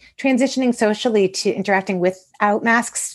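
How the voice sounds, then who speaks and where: A woman with an American accent and an ordinary speaking voice talks at a moderate pace and medium pitch, with ordinary pitch variation against a quiet background. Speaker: school counselor and author. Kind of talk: interview conversation.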